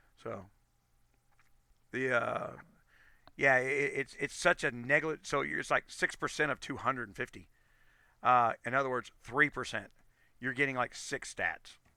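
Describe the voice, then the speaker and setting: Bright and sharp in tone, a man's medium-pitched voice moves at a moderate pace with fairly even intonation, long, frequent pauses and big swings in loudness, in a dry, close sound with no echo. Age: 50s. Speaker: gaming streamer. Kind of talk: live stream commentary. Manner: halting, many repeats and self-corrections.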